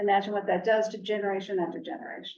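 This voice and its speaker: A woman has a normal speaking voice with a fairly high pitch. She talks at a fairly quick pace. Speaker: church task force chair giving a presentation. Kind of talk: presentation with slides.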